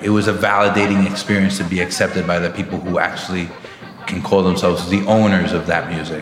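With a New York accent, a man speaks at a fairly quick pace in a fairly low, monotone, flat voice, with noticeable background noise and audible room echo. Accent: New York American English. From Brooklyn, New York. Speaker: musician. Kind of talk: interview.

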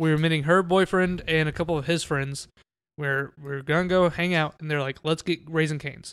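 Fairly quick with fairly even intonation, an unremarkable speaking voice comes through on a very clean recording with a silent background. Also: man. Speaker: podcast host. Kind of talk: casual chat.

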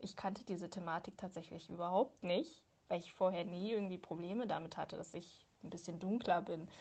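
Somewhat breathy, a woman of medium pitch talks at a fairly quick pace with fairly even intonation. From Hildesheim, Lower Saxony, Germany. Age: 20s. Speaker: personal testimony contributor. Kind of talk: testimony.

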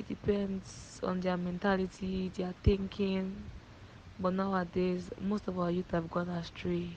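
Fairly slow and flat, a woman speaks in a monotone. Her medium-pitched voice is somewhat breathy. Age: young. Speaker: student. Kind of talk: interview answers.

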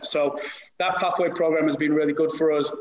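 Over noticeable background noise, a man talks at a fairly quick pace and a fairly high pitch. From northern England. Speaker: youth soccer academy director. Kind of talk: panel discussion.

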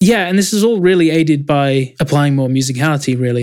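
A man speaks with an English accent. His pitch sits fairly high. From England. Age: 20s. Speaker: music producer. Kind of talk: interview.

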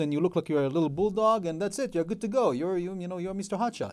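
A man's high-pitched voice with a dark, mellow tone and ordinary pitch variation, in a very clean recording with a silent background. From Israel. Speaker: firearms dealer and military veteran. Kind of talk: radio interview. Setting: radio studio.

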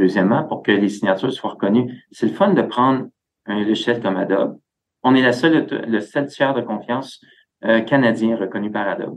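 With a plain, everyday voice, a man speaks at a medium pitch and a moderate pace. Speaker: tech company executive. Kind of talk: interview.

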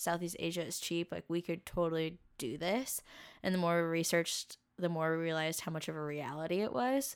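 A speaker with a West Coast US accent talks at a fairly quick pace with ordinary pitch variation, on a very clean recording with a silent background. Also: woman, fairly low pitch for a woman. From US Pacific Northwest, Camas, Washington. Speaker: graphic designer and traveler. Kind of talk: casual interview chat.

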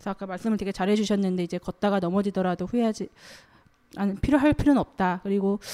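Dry and close with no echo, a woman speaks at a very fast pace in a medium-pitched, dark, mellow tone. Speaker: journalist. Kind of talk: panel discussion. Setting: stage with audience.

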